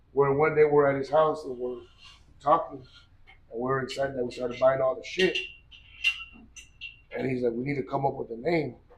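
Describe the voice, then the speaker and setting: Audible room echo surrounds a man talking at a fairly quick pace with long, frequent pauses. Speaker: gym owner and strength athlete. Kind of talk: interview storytelling. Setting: gym. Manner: loud; animated.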